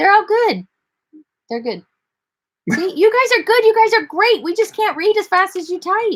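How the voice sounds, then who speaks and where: A squeaky, put-on character voice speaks at a moderate pace with lively intonation and long, frequent pauses. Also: woman, extremely high pitch for a woman. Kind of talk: casual, encouraging. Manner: fast, rapid talking.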